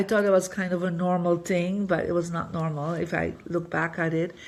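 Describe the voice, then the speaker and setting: A woman with a normal speaking voice, fairly low pitch and a moderate pace. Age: 60s. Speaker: feng shui master and spiritual teacher. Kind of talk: podcast interview, personal story. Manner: conversational with many fillers.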